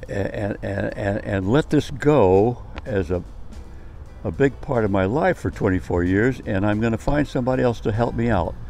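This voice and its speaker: With music playing in the background, a man speaks in a fairly low voice with lively intonation. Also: moderate pace. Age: 90s. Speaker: community gardener. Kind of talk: informal speech to camera. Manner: halting, repetitive.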